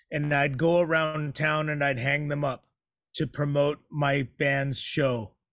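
A man's plain, everyday voice, fairly high in pitch, with fairly even intonation and an American accent. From San Francisco Bay Area, California. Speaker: musician. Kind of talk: interview. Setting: video call.

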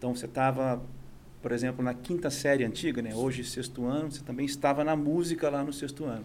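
A man talks at a very fast pace in a medium pitch, his intonation fairly even, with audible room echo around him. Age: 40s. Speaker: conductor and musician. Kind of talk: casual interview. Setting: studio.

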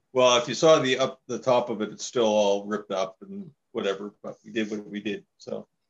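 A man speaks fairly quickly in a Maritime Canadian accent, his loudness swinging a lot. His pitch sits in the middle range with ordinary variation. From Saint John, New Brunswick, Canada. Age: 50s. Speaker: drummer. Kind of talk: casual chat.

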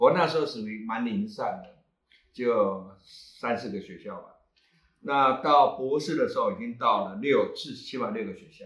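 A man talks at a moderate pace. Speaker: astronomy club founder and teacher. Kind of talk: casual panel talk.

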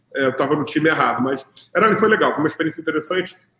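A man's very fast delivery with lively intonation. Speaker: podcast host. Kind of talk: interview. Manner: casual.

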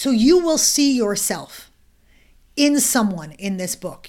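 Recorded very cleanly against a silent background, a woman talks with lively intonation. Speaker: author and swagger coach. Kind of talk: casual interview. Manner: animated, candid.

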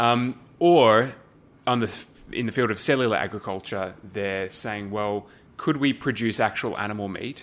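A man speaks with an Australian accent. His pitch is fairly low and varies in an ordinary way. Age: young. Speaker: alternative protein think tank director. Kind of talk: casual interview.

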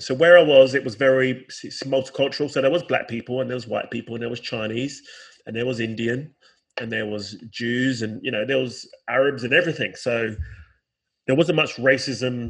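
A man with a London accent talks fairly quickly at medium pitch, his intonation fairly even and his loudness swinging widely. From South London, England. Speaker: musician and educator. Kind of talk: casual chat.

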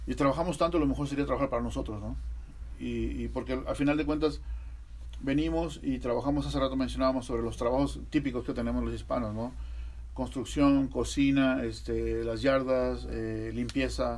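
At a moderate pace, a man speaks in a room that gives an audible echo. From Mexico, Veracruz. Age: 40s. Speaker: podcast host. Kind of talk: casual interview.

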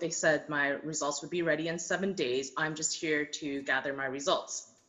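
A woman speaks at a moderate pace with a Canadian accent. There is noticeable background noise. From Taiwan, moved to Canada as a child. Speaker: welder. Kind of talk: interview.

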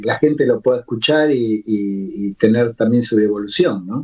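Ordinary pitch variation from a man at a fairly slow speed. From Buenos Aires. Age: 60s. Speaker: lyricist and poet. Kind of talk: interview. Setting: remote call. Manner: halting.

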